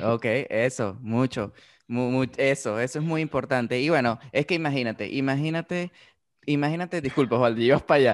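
A man talks with a Venezuelan accent at a fairly quick pace. The background is quiet. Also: medium pitch for a man, ordinary pitch variation. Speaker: podcast co-host, BIM specialist. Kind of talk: casual podcast chat. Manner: hesitant, many fillers.

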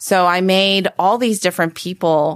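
A woman with an American accent and fairly even intonation, in a very clean recording over a silent background. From California (Palo Alto area). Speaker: venture capitalist. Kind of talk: interview, casual conversation.

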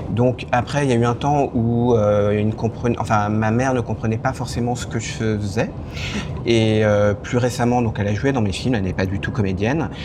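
A man with a medium pitch and fairly even intonation keeps a moderate pace, his voice carrying audible room echo over noticeable background noise. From France. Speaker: screenwriter and film director. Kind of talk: casual interview. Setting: restaurant.

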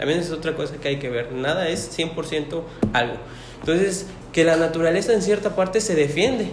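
A man's high-pitched voice at a fairly quick pace, with noticeable background noise and audible room echo. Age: 20s. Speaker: paramedic. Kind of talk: casual interview.

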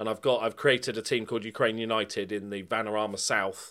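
A man with a medium pitch comes through on a very clean recording with a silent background. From southern England (Bournemouth). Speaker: football video game content creator and streamer. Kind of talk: casual interview chat.

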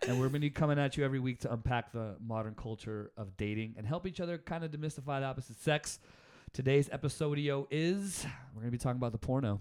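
Talking very fast, a man keeps a medium pitch with ordinary pitch variation. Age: 30s. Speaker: podcast co-host. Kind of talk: casual chat; reading aloud.

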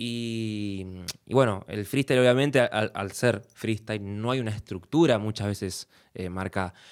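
In a very clean recording with a silent background, a man with an Argentine accent talks at a fairly slow pace, with a fairly low pitch and ordinary pitch variation. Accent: Rioplatense Argentine Spanish. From Argentina. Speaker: music producer. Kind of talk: casual interview.

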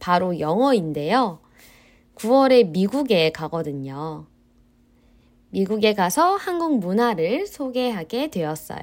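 Speaking at a very slow pace with long, frequent pauses, a woman at medium pitch makes very wide pitch swings. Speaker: Korean language teacher. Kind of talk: scripted language-learning podcast monologue. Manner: slow and clear.

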